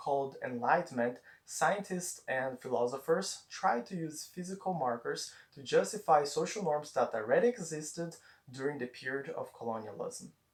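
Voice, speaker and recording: A man with a Portuguese accent and a fairly high pitch speaks at a moderate pace, with very wide pitch swings and big swings in loudness. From Brazil. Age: 20s. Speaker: student. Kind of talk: persuasive speech presentation.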